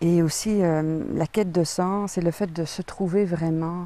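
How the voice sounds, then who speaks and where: A dark, mellow tone with ordinary pitch variation. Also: woman. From Belgium. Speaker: author. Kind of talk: interview. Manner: hesitant, many fillers.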